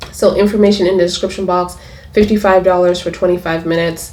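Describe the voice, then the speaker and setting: This woman's fairly low voice comes with audible room echo and noticeable background noise. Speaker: tarot reader. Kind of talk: tarot reading. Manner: animated.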